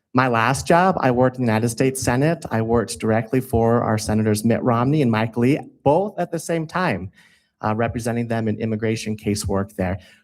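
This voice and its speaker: The recording is very clean, and the background is silent. A plain, everyday voice goes at a fairly quick pace with ordinary pitch variation. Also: man, medium pitch for a man. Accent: American. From Utah. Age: 20s. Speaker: city council applicant. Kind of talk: interview statement.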